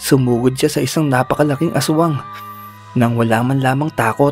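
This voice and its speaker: Over music in the background, a man speaks at medium pitch and a moderate pace with fairly even intonation. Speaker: horror story narrator. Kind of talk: horror story narration. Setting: home studio with condenser microphone.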